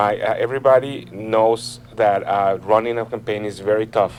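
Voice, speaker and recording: This man speaks with a Mexican accent over noticeable background noise. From Mexico City. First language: Spanish. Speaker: political candidate. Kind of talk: interview. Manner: earnest, persuasive.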